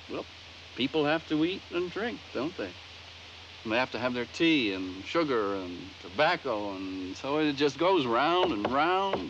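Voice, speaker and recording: Noticeable background noise sits under a fairly slow delivery with very wide pitch swings. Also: man, fairly high pitch for a man. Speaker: actor playing a schoolmaster character. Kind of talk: theatrical play performance. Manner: earnest, complaining.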